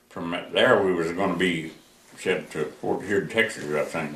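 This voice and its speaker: A man speaks with audible room echo and noticeable noise in the background. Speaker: war veteran. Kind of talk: oral history interview. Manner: halting.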